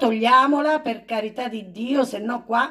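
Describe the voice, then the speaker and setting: A woman talks at a fairly slow pace, with a quiet background behind her. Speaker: home singer vlogger. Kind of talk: casual vlog chat. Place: home room.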